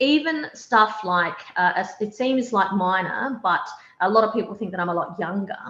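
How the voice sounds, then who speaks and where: Talking at a fairly quick pace, a woman speaks with a strong Australian accent. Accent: broad Australian. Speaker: opposition party leader. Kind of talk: panel discussion.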